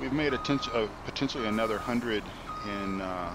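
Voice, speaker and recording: A man's fairly low voice at a fairly quick pace, with ordinary pitch variation, noticeable background noise and audible room echo. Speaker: gaming streamer. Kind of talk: live gameplay commentary. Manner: halting, many fillers.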